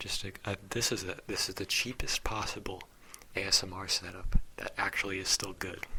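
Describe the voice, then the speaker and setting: A man whispers at a moderate pace. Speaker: ASMR creator. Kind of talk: soft-spoken ASMR ramble to camera. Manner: casual, rambling, humorous.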